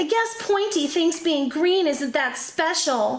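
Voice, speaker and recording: Putting on a character voice, a woman speaks at an extremely high pitch with lively intonation and a fairly slow pace. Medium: read story.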